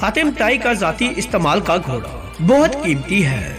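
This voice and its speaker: With music in the background, a man speaks at a high pitch, making very wide pitch swings. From Pakistan. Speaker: voice over artist. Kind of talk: Islamic story narration.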